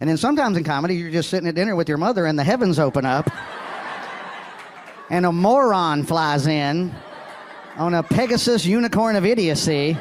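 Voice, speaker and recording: Over noticeable background noise, a man with a high pitch and an American accent talks at a fairly quick pace with lively intonation, very even loudness, and long, frequent pauses. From Alabama, US South. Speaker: stand-up comedian. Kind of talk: stand-up.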